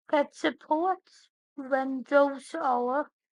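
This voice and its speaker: With a Northern Irish accent, a woman speaks at a high pitch in a dry, close sound with no echo. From Northern Ireland. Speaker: tech podcast host. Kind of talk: scripted podcast narration.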